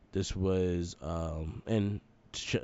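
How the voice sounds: A man's low-pitched voice, dark and mellow in tone, with ordinary pitch variation.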